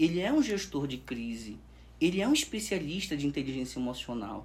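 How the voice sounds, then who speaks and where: A man at a moderate pace, vocal fry in his voice and very wide pitch swings. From northern Brazil, Pará. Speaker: sales expert. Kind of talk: podcast interview. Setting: studio.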